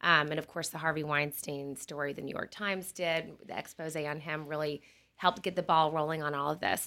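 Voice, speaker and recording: A woman speaks at a fairly quick pace in a very deep, low pitch with a bright, sharp tone. Her intonation is monotone and flat, on a very clean recording with a silent background. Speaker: podcast host. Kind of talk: interview. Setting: studio.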